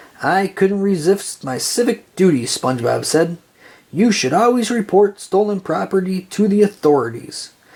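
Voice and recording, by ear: The passage is read aloud. Its delivery sounds natural.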